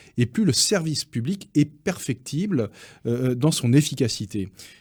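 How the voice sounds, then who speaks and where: On a very clean recording with a silent background, a man speaks with a dark, mellow tone. His pitch is fairly high and swings very widely. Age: 60s. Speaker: business federation president. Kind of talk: radio interview.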